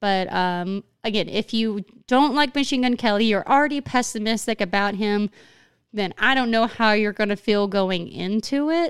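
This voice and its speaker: In a Southern US accent, a woman with a fairly high pitch and ordinary pitch variation speaks at a moderate pace, in a dry, close sound with no echo on a very clean recording with a silent background. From Arkansas. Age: 20s. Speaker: podcast host. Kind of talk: casual chat.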